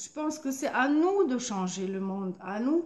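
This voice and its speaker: A woman speaks very slowly in a high pitch, with a German accent. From Germany. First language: German (speaking French). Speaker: painter and artist vlogger. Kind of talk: motivational vlog monologue. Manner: halting, many hesitations and repetitions.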